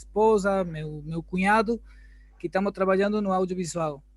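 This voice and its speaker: Speaking at a moderate pace with a Spanish accent, a man uses a high pitch and fairly even intonation. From Argentina, Buenos Aires. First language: Spanish (speaking Portuguese). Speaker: workshop participant. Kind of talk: asking a question.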